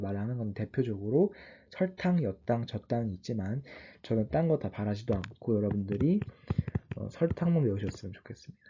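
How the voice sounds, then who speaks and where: Over a quiet background, a man speaks with a dark, mellow tone. His voice is somewhat breathy. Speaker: online biology tutor. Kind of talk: lecture. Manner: halting, self-correcting.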